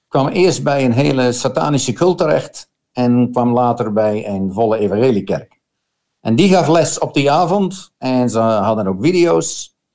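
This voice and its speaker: A man talks at a fairly slow pace with lively intonation, a medium pitch and a dark, mellow tone. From Netherlands. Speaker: missionary. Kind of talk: testimony. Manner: halting.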